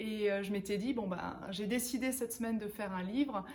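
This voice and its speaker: A woman's fairly high, somewhat breathy voice with ordinary pitch variation, at a moderate pace. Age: 30s. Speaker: author and professional coach. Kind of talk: interview-style book presentation. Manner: hesitant, frequent filler words.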